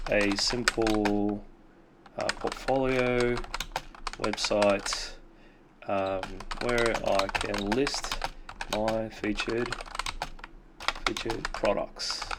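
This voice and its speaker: A man with an Australian accent speaks at a medium pitch and a very slow pace, with long, frequent pauses, noticeable background noise and audible room echo. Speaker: software developer. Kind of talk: tutorial. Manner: halting, many fillers; casual.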